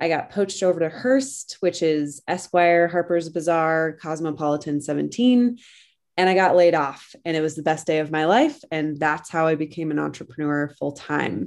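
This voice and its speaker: On a very clean recording with a silent background, a woman speaks at a fairly low pitch. Her tone is bubbly and her pace moderate. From rural Colorado, US. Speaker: business coach, former graphic designer. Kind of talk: casual interview. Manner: bubbly, laughs often.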